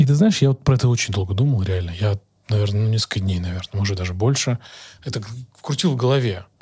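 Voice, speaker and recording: A man's somewhat breathy, dark, mellow voice, fairly low in pitch with ordinary variation, very fast yet broken by long, frequent pauses. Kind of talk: casual interview chat. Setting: video podcast.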